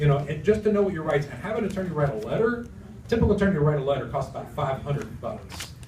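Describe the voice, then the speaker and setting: Pitched fairly high, a man speaks at a very fast pace with very wide pitch swings, amid noticeable background noise and audible room echo. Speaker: sales presenter. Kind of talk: audience Q&A presentation. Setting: room with live audience.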